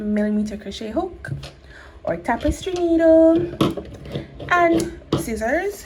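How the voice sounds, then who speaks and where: Very wide pitch swings from a woman, over noticeable background noise. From Jamaica. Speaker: crochet tutorial creator. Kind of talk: tutorial. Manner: slow, step-by-step.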